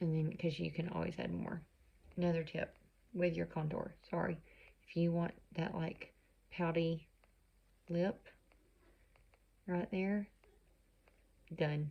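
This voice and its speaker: A woman's dark, mellow, somewhat breathy voice, monotone and flat, at a fairly slow pace with long, frequent pauses. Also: fairly low pitch for a woman. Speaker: makeup consultant. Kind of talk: tutorial. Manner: casual, chatty.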